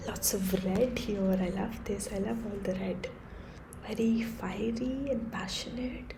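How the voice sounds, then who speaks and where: The voice is soft-spoken and moves at a fairly slow pace. Noticeable background noise sits behind it. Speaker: tarot reader. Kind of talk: tarot reading to camera.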